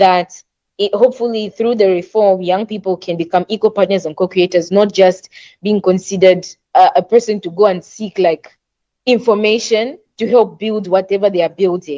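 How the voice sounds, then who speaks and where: In a dry, close sound with no echo, a woman at a medium pitch speaks with fairly even intonation and a dark, mellow tone. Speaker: youth panel presenter. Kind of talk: workshop presentation. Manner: fast.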